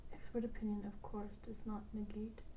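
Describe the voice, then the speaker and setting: A soft-spoken woman is heard here. She talks at a moderate pace. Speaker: bedtime reading host. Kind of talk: sleep reading of a law textbook. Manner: soft, monotone.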